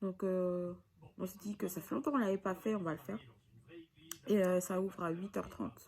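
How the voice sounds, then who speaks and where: The voice is somewhat breathy and moves at a moderate pace, with long, frequent pauses. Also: woman, medium pitch for a woman, ordinary pitch variation. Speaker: vlogger. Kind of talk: casual vlog narration. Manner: hesitant, many fillers; soft-spoken.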